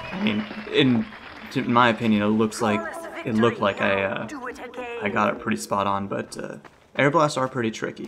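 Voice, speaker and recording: A medium-pitched man with ordinary pitch variation, talking at a fairly quick pace with long, frequent pauses over noticeable background noise. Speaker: gaming commentator. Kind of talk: gameplay commentary. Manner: fast; hesitant, many fillers.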